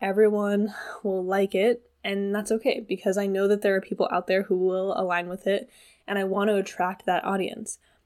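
A woman speaks in an American accent at medium pitch with fairly even intonation. The recording is very clean, with a silent background. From US Pacific Northwest, Washington State. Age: 20s. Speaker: podcast host, body image coach. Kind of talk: casual solo monologue. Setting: at home.

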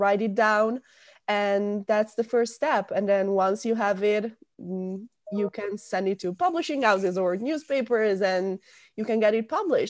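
Against a quiet background, a woman with an Italian accent speaks at a moderate pace with ordinary pitch variation. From northern Italy, near Milan. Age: 20s. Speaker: university student. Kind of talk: interview.

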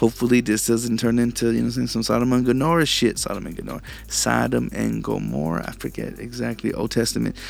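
Music plays in the background as a man speaks. He talks at a very fast pace with an American accent. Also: hardly any pauses. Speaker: podcast host. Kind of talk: angry rant. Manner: profane, fired-up, riled and agitated, spitting out insults and swearing.

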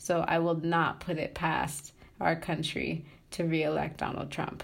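A woman talks at a very slow pace with a fairly low pitch and vocal fry. There is audible room echo. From Tanzania. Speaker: graduate student in social work. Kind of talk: interview.

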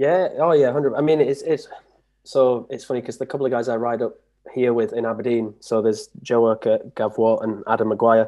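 Against a quiet background, a man speaks fairly quickly in a Yorkshire accent. His tone is dark and mellow, with ordinary pitch variation. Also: medium pitch for a man. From northern England. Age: 30s. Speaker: trials bike rider. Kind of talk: casual interview.

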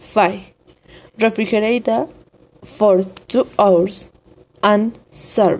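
Woman of medium pitch with a Spanish accent, speaking at a very slow pace with long, frequent pauses and ordinary pitch variation. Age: 20s. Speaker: student. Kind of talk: reading aloud. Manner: formal.

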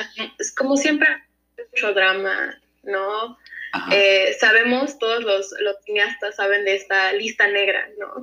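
A woman's medium-pitched voice with ordinary pitch variation, at a very slow pace. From United States (raised from age 1.5 to 17), Mexican-born. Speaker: former film student, illustrator. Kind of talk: casual interview.

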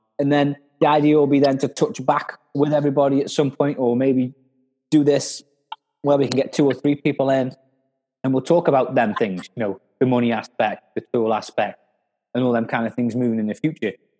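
A man talks at a fairly quick pace, his pitch varying in an ordinary way, as music plays in the background. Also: medium pitch for a man. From Stoke-on-Trent, England. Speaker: podcast host, tradesman. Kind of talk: casual chat.

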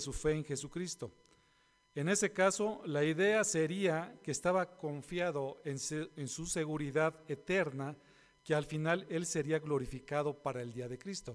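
At a fairly slow pace, a man with a fairly high pitch uses a normal speaking voice with ordinary pitch variation. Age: 50s. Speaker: pastor. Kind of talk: sermon.

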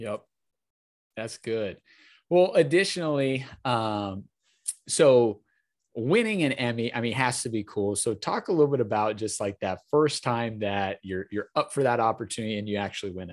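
A man with an American accent has a plain, everyday voice, medium pitch and ordinary pitch variation, at a moderate pace. His loudness swings widely against a quiet background. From Wisconsin. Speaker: podcast host. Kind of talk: interview.

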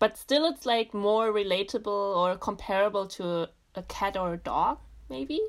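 A woman with a German accent speaks at medium pitch and a moderate pace, her intonation lively. The recording is very clean, with a silent background. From Germany. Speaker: podcast guest. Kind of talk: casual chat.

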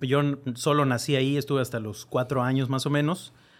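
A man speaks at a moderate pace in a medium pitch. He has an ordinary speaking voice. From Mexico, born in La Rioja, Argentina. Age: 30s. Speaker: political staffer and writer. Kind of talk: casual chat.

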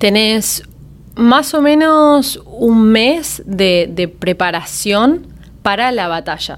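This woman's voice sits fairly high. Her pitch swings very widely. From Miami, US (Argentine family, moved at five). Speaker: singer, former singing-contest contestant. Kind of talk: podcast interview, casual chat. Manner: frequent Spanish-English code-switching.

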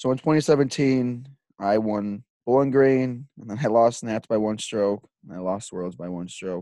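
Against a quiet background, a man with a Chicago accent speaks at a fairly slow pace in a fairly low pitch, the sound dry and close with no echo. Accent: Chicago-area American. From US Midwest (Illinois). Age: 20s. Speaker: podcast host, disc golfer. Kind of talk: casual monologue.

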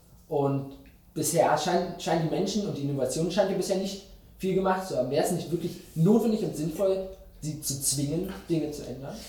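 Audible room echo surrounds a man talking at a fairly quick pace in a high pitch. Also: ordinary pitch variation. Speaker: journalist. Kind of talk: interview. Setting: studio.

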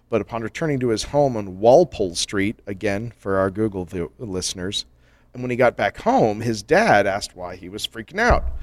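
A man talks at a fairly quick pace in an animated tone, with a dry, close sound, no echo, and a very clean recording against a silent background. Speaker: podcast co-host. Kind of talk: casual chat.

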